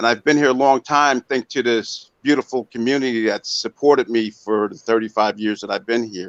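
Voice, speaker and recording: A man at a medium pitch speaks at a fairly quick pace with hardly any pauses. His intonation is fairly even, and the sound is dry and close with no echo. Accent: American. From Monticello, New York, US. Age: 60s. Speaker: former mayor and local candidate. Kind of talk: interview. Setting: online video call. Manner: halting.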